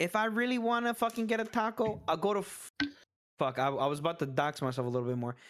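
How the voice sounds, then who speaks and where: On a very clean recording with a silent background, a man with an American accent talks at a very fast pace and a high pitch, his pitch swinging very widely while his loudness stays very even. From Bronx, New York. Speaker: podcast co-host. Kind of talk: casual chat. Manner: animated.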